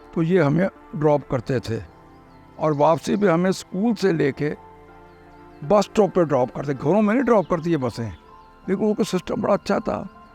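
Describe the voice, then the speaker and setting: Music plays in the background. A man speaks with lively intonation in a high pitch. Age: 80s+. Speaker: longtime resident recounting local history. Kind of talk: oral history interview answer.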